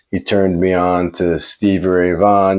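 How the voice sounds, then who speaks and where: A man's very deep, low voice with a New York accent. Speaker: vlogger. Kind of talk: personal storytelling. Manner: casual, conversational.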